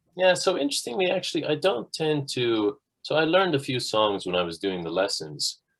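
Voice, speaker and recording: Recorded very cleanly with a silent background, this voice moves at a moderate pace in a Dublin accent with very wide pitch swings. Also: man. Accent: Irish (Dublin). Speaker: musician. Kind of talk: interview.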